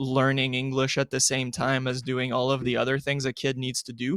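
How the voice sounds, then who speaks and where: The recording has a dry, close sound with no echo. A man speaks at a medium pitch. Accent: French. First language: French. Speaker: sports journalist. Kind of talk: casual chat. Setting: live-streamed podcast.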